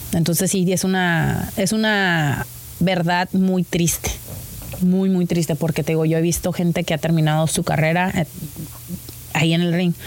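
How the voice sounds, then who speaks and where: Against noticeable background noise, a woman with fairly low pitch speaks at a fairly slow pace, with fairly even intonation, very even loudness and long, frequent pauses. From Mexico, Tijuana. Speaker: professional wrestler. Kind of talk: casual interview.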